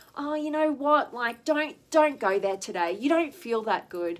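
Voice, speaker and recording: A woman's whiny, high-pitched put-on character voice at a moderate pace, with very wide pitch swings. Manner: complaining, wheedling.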